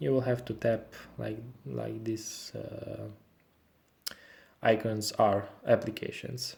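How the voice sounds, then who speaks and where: The speech is very slow, with long, frequent pauses. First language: not English. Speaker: tech reviewer. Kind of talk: product review tutorial. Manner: halting, many fillers.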